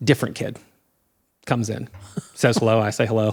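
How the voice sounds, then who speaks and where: With an American accent, a man speaks at a medium pitch and a moderate pace. Music can be heard in the background. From Indiana, US Midwest. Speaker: world traveler and adventurer. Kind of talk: casual interview chat. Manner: halting, many fillers and restarts.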